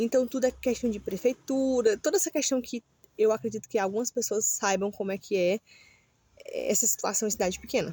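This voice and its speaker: A woman talks at a fairly quick pace in a fairly high, somewhat breathy voice with a dark, mellow tone and ordinary pitch variation. The sound is dry and close, with no echo. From Brazil, Ceará (Northeast). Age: 30s. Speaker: vlogger. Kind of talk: casual vlog monologue. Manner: halting, many fillers.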